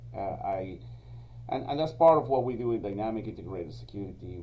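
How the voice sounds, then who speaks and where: The voice has a dark, mellow tone and a Spanish accent. It moves at a moderate pace with audible room echo. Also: man. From Venezuela, then Israel from age 16. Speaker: security company executive. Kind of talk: podcast interview. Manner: hesitant, many fillers.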